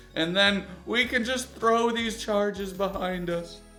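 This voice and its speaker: Audible room echo surrounds this man's speech. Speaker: YouTube reaction commentator. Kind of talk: comedic video reaction commentary. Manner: stutters over words sometimes; sarcastic, joking.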